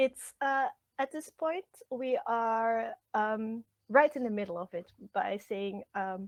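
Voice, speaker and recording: With a Flemish accent, a woman speaks very slowly at a fairly high pitch with lively intonation. The sound is dry and close, with no echo. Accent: Belgian Dutch (Flemish) accent in English. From Belgium (Flemish). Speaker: translator and literature lecturer. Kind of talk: interview. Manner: halting, many fillers.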